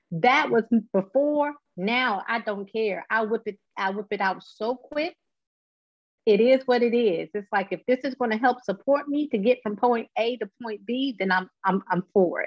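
A woman with a plain, everyday voice, fairly high pitch, ordinary pitch variation and a moderate pace. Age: 40s. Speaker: patient advocate living with MS. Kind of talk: interview.

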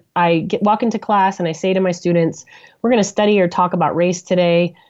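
Against a quiet background, a woman with a General American accent speaks in an ordinary speaking voice with fairly even intonation. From US, Denver, Colorado. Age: 40s. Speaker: professor and author. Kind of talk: interview.

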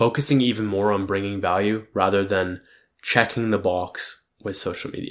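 Over a quiet background, the speaker keeps a moderate pace and fairly even intonation. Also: man, fairly low pitch for a man. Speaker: solo vlogger / podcaster. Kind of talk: casual solo monologue. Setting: home recording with cat. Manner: frequent filler words (like, um).

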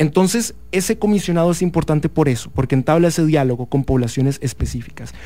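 Fairly high-pitched for a man, this dark, mellow voice races at a very fast pace with hardly any pauses, very even loudness and ordinary pitch variation. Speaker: law student and youth activist. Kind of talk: interview.

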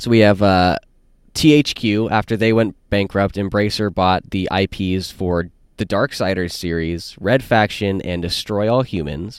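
Recorded very clean with a silent background, a man speaks fairly slowly at a fairly low pitch with ordinary pitch variation. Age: 20s. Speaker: podcast host. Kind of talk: casual chat. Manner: hesitant, many fillers.

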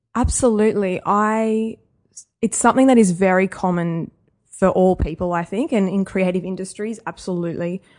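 Against a quiet background, a woman talks with an Australian accent and ordinary pitch variation. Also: medium pitch for a woman, moderate pace. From Australia, Wagga Wagga (regional New South Wales). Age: 30s. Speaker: young adult author. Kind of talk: interview.

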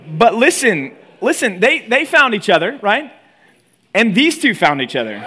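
At a moderate pace, a man projects a raised voice that is high and bright with a sharp tone, his pitch swinging very widely. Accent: American. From Texas. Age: 30s. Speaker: pastor. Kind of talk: sermon. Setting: retreat talk before college audience. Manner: animated.

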